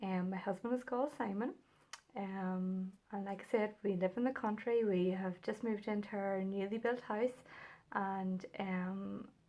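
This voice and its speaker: Speaking at a fairly slow pace, a woman with a Northern Irish accent has a dark, mellow tone and fairly even intonation. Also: medium pitch for a woman. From Northern Ireland. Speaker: knitting and crochet podcaster. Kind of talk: casual chat. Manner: hesitant, many fillers.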